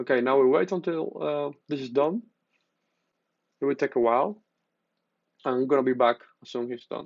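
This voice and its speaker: A man with a Spanish accent speaks at a fairly quick pace and medium pitch with ordinary pitch variation, big swings in loudness and long, frequent pauses. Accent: Spanish-accented non-native English. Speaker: tech youtuber. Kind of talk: tutorial. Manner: halting, with many fillers.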